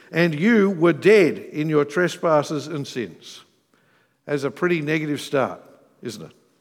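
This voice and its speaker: With an Australian accent, a man talks at a high pitch with ordinary pitch variation on a very clean recording with a silent background. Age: 40s. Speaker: pastor. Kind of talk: sermon. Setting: church.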